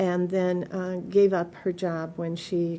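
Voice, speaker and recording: A woman's dark, mellow voice in a monotone with flat intonation, with a Midwestern American accent. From US Midwest, Detroit. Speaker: oral history interviewee. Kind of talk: oral history interview. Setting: museum.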